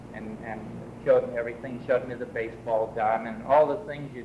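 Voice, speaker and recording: A man speaks over noticeable background noise. The room adds audible echo. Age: 70s. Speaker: priest. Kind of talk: oral history interview, personal memories. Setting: museum storytelling event. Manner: halting, many fillers.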